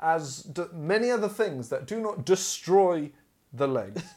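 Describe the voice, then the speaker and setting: Very wide pitch swings run through a man's speech in an English accent. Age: 20s. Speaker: podcast host. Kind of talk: casual chat.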